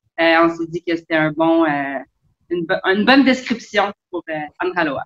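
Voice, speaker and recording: A woman with a Quebec accent, fairly low-pitched, with lively intonation and a dry, close sound with no echo. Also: moderate pace. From Quebec, South Shore of Montreal. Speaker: sailor and travel blogger. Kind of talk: casual interview.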